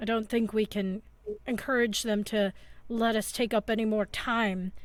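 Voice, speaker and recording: A woman does a put-on character voice at a fairly high pitch and a moderate pace. Her delivery is monotone and flat, with very even loudness. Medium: actual play. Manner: chatty, folksy.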